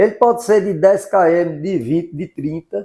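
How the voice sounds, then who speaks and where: A dark, mellow tone at a moderate pace with ordinary pitch variation, on a very clean recording over a silent background. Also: man. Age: 60s. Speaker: amateur cyclist. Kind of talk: documentary interview. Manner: casual.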